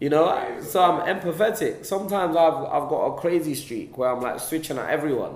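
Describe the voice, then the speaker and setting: A man with a London accent speaks at a very fast pace, his high pitch showing ordinary variation. Light background noise and audible room echo accompany him. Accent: London multicultural English. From London, England. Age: young. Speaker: film director; interviewee. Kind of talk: interview; interview answer. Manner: casual, with many fillers. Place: meeting room.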